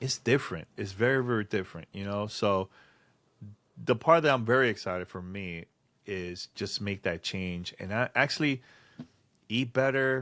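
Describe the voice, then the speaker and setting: A man at a moderate pace, with big swings in loudness, ordinary pitch variation, and long, frequent pauses. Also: fairly low pitch for a man, very clean recording, silent background. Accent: strong Dominican. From Dominican Republic, San Francisco de Macorís. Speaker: podcast co-host. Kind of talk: casual chat.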